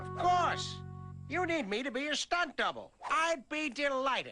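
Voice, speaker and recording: A female-sounding voice does a cartoonish character voice at a moderate pace, with faint music in the background. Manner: cheerful, oblivious.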